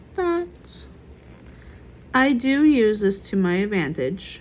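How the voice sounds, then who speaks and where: Somewhat breathy, a woman speaks at a very slow pace with very wide pitch swings. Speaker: art vlogger. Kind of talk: casual chat. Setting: hospital. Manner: stuttering, halting.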